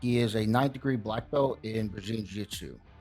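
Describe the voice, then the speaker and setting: With music in the background, a man talks in a medium pitch. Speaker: martial arts interviewer. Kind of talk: introduction to camera.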